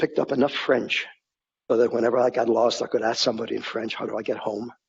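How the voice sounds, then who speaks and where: A man at a medium pitch with a slight Polish accent and a very fast pace. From Poland (Warsaw), then US (Oregon). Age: 80s+. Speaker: Holocaust survivor speaker. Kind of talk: testimony. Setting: corporate talk event. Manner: halting, with repetitions.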